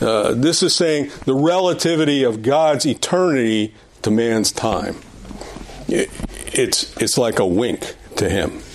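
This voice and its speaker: At a fairly slow pace, a man with a medium-pitched voice speaks at a very even loudness over noticeable background noise. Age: 70s. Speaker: Sunday school teacher. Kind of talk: prayer; Bible lesson lecture. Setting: church classroom with audience. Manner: halting, with many fillers and repetitions.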